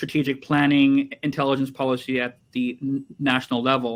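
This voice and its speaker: Delivered at a moderate pace in an American accent, the speech is monotone, with flat intonation. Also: man. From USA. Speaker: cybersecurity company CEO. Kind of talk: webinar panel introduction.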